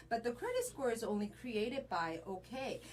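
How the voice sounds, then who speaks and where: At a moderate pace, the speaker talks with a Korean accent over noticeable background noise. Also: woman. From Korea, moved to US at twelve. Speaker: credit repair specialist. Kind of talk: interview conversation.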